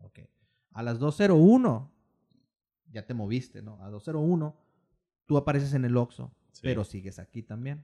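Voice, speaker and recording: A man's medium-pitched voice, dark and mellow in tone, with lively intonation, a fairly slow pace, long and frequent pauses, and a dry, close sound with no echo. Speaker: podcast co-host. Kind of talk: casual chat.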